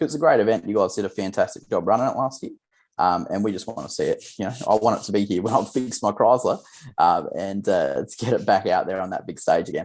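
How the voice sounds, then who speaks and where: A man with an Australian accent speaks at a very fast pace against a quiet background. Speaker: grassroots racer and video maker. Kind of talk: casual chat.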